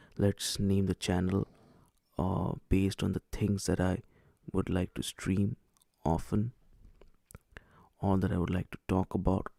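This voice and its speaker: With an Indian accent, a man speaks in a very deep, low, dark and mellow voice, monotone and flat, at a fairly slow pace with long, frequent pauses, in a dry, close sound with no echo. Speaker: streamer. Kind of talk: live stream chat. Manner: hesitant.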